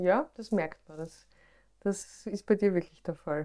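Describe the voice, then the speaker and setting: A woman's fairly slow speech with an Austrian accent, ordinary pitch variation and a dark, mellow tone. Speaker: podcast host and pharmacist. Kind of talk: interview. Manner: animated.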